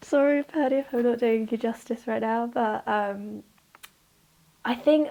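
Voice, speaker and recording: With a southern English accent, a woman speaks at a fairly high pitch. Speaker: upholsterer and small business owner. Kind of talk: casual vlog chat. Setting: home workroom. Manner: slow with long pauses.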